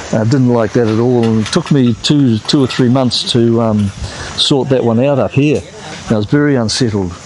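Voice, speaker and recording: A man's medium-pitched voice at a moderate pace, very even in loudness, with ordinary pitch variation and noticeable background noise. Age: 60s. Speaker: travel vlogger. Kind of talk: casual vlog monologue. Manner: halting, many fillers.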